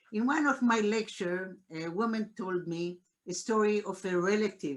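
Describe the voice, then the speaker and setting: A woman with an Israeli accent speaks at a medium pitch. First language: Hebrew. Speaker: Holocaust scholar. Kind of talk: panel discussion. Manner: halting.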